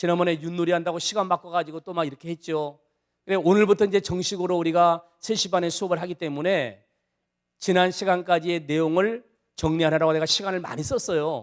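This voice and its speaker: A man's high-pitched voice with fairly even intonation, at a fairly quick pace. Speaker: church bible class teacher. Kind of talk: lecture. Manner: fast.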